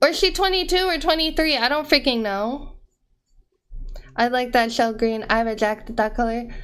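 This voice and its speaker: With an American accent, a woman speaks in an animated, high-pitched voice with lively intonation at a moderate pace, broken by long, frequent pauses. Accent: American with cot-caught merger. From US, region with cot-caught merger. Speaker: streamer. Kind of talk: casual chat. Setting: live stream.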